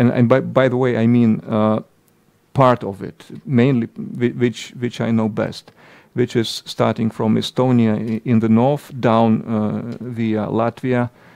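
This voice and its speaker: Against a quiet background, a man with a Lithuanian accent speaks at a fairly slow pace in a medium pitch with monotone, flat intonation. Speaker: politician. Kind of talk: political commentary monologue. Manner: halting, many hesitations.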